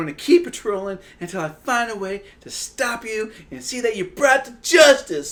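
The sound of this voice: An unforced reading voice carries the passage.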